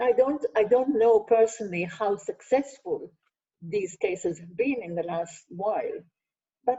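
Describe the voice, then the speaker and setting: A woman with an Israeli accent, somewhat breathy, fairly high in pitch with very wide pitch swings, at a moderate pace. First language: Hebrew. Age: 70s. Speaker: sociologist. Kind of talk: Q&A answers.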